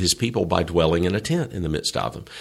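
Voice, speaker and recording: A man in a Southern US accent. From US South. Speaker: seminary chancellor and theology professor. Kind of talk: conversational Bible teaching interview.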